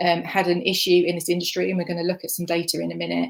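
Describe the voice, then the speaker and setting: A woman with a slight Essex accent speaks at a fairly low pitch. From Essex, England. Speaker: communications manager. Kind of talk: conference talk.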